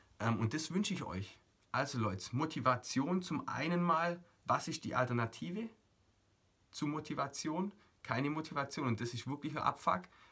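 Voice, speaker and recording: This man's voice has a fairly high pitch and a bright, sharp tone. He talks at a moderate pace with lively intonation and long, frequent pauses. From Germany. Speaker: motivational coach. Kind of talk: motivational video monologue. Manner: animated.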